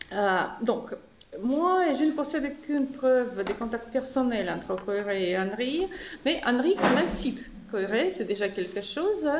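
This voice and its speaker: A woman speaks with a non-native accent at a fairly slow pace, her high voice swinging very widely in pitch. Audible room echo and noticeable background noise surround her. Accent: foreign accent in French. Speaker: philosophy professor. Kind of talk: academic conference talk. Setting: conference room with audience. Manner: halting, many hesitations.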